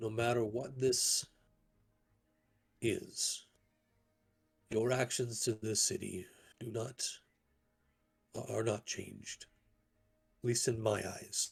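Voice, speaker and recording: A man's raspy put-on character voice at a medium pitch, with a fairly slow pace and long, frequent pauses. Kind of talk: diplomatic council speech. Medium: actual play. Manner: deliberate, formal.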